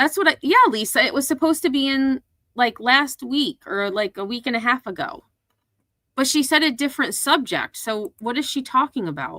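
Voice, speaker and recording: With lively intonation and a bright, sharp tone, the raised, projected voice keeps a moderate pace in a dry, close sound with no echo. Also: woman, high pitch for a woman. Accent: American. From upstate New York, US Northeast. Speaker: commentary YouTuber. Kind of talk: livestream commentary reacting to clips. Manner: casual, conversational.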